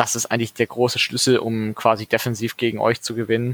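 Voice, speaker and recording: A man speaks at medium pitch and a moderate pace. The sound is dry and close, with no echo. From Ruhr area, Dortmund. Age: 20s. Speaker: sports fan community organiser. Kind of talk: casual chat.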